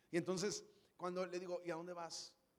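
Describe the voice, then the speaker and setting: Very fast and animated in tone, a man speaks. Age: 30s. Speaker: pastor. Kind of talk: sermon. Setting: church stage with audience.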